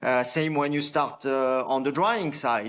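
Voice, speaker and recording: On a very clean recording with a silent background, a man with a French accent speaks at a fairly high pitch. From France. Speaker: coffee farmer and company founder. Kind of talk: podcast interview. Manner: hesitant, many fillers and restarts.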